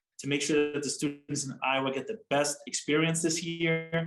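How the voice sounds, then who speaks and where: Over background music, a man talks at a moderate pace. His pitch is fairly high and his intonation fairly even. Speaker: government official interviewed on news. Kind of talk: interview answer.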